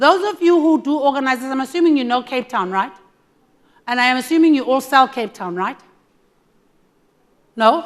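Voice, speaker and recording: With a high pitch, lively intonation and an animated tone, a woman speaks at a moderate pace, leaving long, frequent pauses. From South Africa. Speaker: tourism board representative. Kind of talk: conference presentation.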